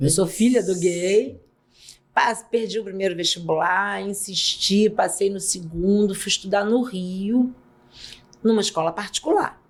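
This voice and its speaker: A woman's ordinary speaking voice, medium in pitch with ordinary pitch variation, at a fairly slow pace. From Brazil, São Gonçalo (Rio de Janeiro state). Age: 60s. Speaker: pediatrician and auditor. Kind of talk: podcast interview.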